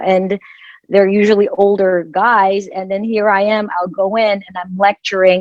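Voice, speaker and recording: At a fairly slow pace, a woman speaks at a medium pitch with a Filipino accent. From Philippines. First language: Filipino language. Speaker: dermatologist. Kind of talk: panel discussion.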